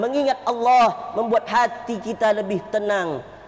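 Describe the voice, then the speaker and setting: A man talks fairly slowly. Behind him, noticeable background noise persists. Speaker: Islamic preacher. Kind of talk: Friday sermon.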